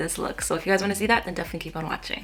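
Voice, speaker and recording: Noticeable background noise fills the clip. Through it, a woman's voice can be heard. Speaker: beauty vlogger. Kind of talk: makeup tutorial. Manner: quiet; casual, chatty.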